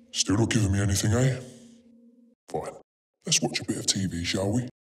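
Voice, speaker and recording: A man speaks at a moderate pace in a fairly low pitch. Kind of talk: police interview procedure. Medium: short film. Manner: calm, formal, coldly menacing.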